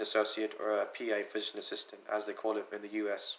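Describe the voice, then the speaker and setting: A man talks with a slight British accent. His tone is bright and sharp. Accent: slightly British. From US, North Carolina, Punjabi family. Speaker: college student. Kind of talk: personal explanatory video message. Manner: casual, conversational.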